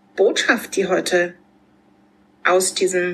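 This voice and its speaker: A woman talks at a very slow pace, her medium pitch showing ordinary variation. Noticeable background noise runs under her voice. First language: German. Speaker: podcast host. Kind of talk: podcast interview.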